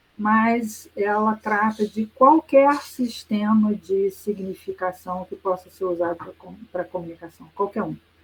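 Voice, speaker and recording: At a fairly slow pace and with hardly any pauses, a woman speaks at medium pitch in a somewhat breathy voice, with ordinary pitch variation and big swings in loudness. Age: 60s. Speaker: professor. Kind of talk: lecture. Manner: conversational with hesitations.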